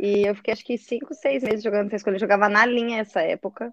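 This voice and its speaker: A woman talks very fast at a fairly high pitch, her intonation fairly even. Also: dry, close sound with no echo. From Brazil, Curitiba. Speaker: football goalkeeper. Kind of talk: casual chat.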